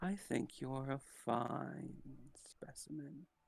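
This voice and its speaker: A man puts on a husky character voice at medium pitch. He speaks at a very slow pace. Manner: sultry, appraising.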